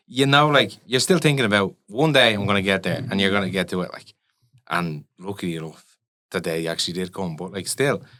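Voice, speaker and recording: Lively in intonation, a man talks at a fairly quick pace with a Dublin accent. His fairly low pitch carries a bright, sharp tone. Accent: Dublin Irish. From Ireland, Dublin. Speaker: electronic music producer and DJ. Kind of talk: casual interview chat.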